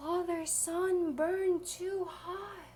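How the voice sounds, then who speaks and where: A put-on character voice rings out at an extremely high pitch. Clear background noise is audible. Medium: read story.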